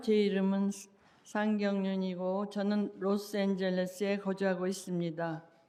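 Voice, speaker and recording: Amid audible room echo, a woman with a Korean accent speaks at a fairly quick pace. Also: medium pitch for a woman, monotone, flat intonation. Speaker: public commenter. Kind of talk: public comment speech. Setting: city council meeting.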